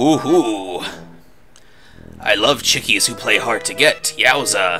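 A man's put-on character voice at a medium pitch, with clear music in the background. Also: fairly slow pace. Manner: lecherous, leering.

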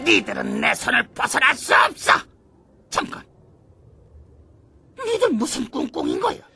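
In a cartoonish character voice with a high pitch and a smug tone, the speaker moves at a moderate pace with long, frequent pauses. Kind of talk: animated action dub. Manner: gloating, taunting, smug.

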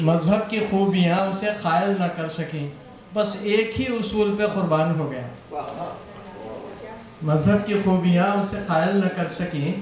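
A man's high-pitched voice with ordinary pitch variation, audible room echo and light background noise. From Hyderabad, India. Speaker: joke teller at party. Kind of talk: joke telling at a private party. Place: home room.

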